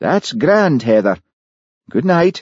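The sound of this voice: A man uses a put-on character voice, fairly high in pitch, with a slightly husky edge and a slightly mellow tone. He goes at a slow pace with big pitch swings, in a dry, close sound with no echo.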